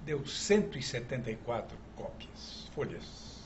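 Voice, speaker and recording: Very wide pitch swings from a man, with audible room echo and noticeable background noise. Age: 70s. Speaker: magic historian and collector. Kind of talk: TV talk show interview.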